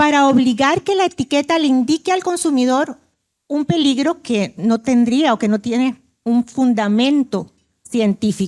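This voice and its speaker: A woman with a Costa Rican accent speaks at a fairly slow pace and high pitch. Her intonation is lively, and the sound is dry and close with no echo. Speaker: invited international speaker on food labeling. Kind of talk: conference presentation. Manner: halting, with frequent self-corrections.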